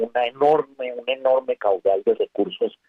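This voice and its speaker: A man is speaking. His pace is fairly slow. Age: 60s. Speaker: former ambassador and columnist. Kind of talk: radio interview. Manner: hesitant, many fillers.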